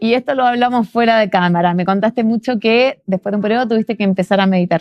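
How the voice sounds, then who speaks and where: This is a woman speaking. She has a Chilean accent. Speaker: podcast host. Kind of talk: interview conversation.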